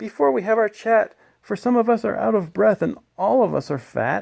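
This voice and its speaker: A man puts on a character voice, pitched high for a man and swinging very widely in pitch. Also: moderate pace. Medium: read story.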